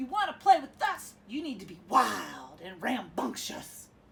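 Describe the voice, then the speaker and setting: A woman's put-on character voice, high-pitched with very wide pitch swings, at a moderate pace. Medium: read story. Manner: sneering.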